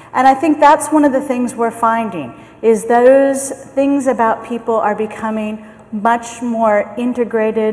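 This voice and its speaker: Over noticeable background noise, the speaker talks fairly slowly in a General American accent, with fairly even intonation. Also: woman, fairly high pitch for a woman. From US, San Francisco. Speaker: management consultant. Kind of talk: conference keynote talk; audience Q&A answers. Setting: conference stage with audience.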